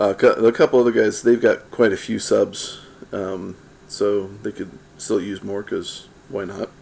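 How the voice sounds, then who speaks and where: A man at a fairly slow pace with big swings in loudness. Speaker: pipe-smoking video creator. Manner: hesitant, many fillers.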